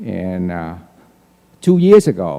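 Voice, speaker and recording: A man with a Vietnamese accent speaks at a fairly slow pace. His dark, mellow voice moves through very wide pitch swings. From Vietnam (Saigon), moved to US at 19. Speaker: politician. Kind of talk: candidate forum speech. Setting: auditorium with audience.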